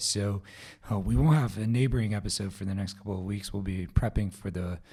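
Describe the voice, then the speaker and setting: A man speaks in a somewhat breathy voice with a dark, mellow tone. His pitch is fairly low and his intonation fairly even. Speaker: podcast host. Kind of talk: solo podcast update.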